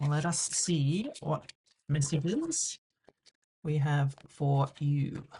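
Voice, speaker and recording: Speaking at a very slow pace with long, frequent pauses, a woman uses a very deep, low pitch, a dark, mellow tone, a somewhat breathy quality and fairly even intonation. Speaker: tarot reader. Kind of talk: tarot reading to camera. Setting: on camera.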